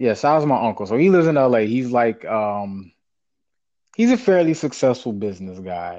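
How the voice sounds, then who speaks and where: A man speaks at a medium pitch with an American accent and a dark, mellow tone. His pace is moderate, and the background is quiet. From US South, small town. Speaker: podcast co-host. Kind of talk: casual chat.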